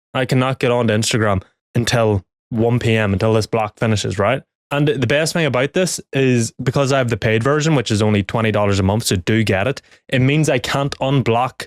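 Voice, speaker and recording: With a Northern Irish accent, a man talks at a very fast pace in an animated tone, medium in pitch with ordinary pitch variation. The recording is very clean with a silent background, and the sound is dry and close with no echo. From Northern Ireland. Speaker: business coach. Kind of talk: talking-head tutorial.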